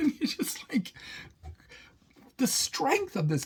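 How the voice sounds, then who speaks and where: This man speaks with an American accent. His pace is fairly slow. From Britain. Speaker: pilgrim vlogger. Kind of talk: reflective vlog monologue. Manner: halting, many false starts.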